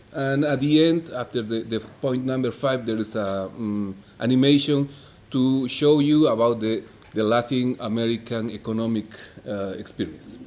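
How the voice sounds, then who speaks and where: A man with a Bolivian accent, medium pitch, ordinary pitch variation and a moderate pace. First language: Spanish. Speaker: economist, conference speaker. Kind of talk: conference lecture. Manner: halting, many fillers.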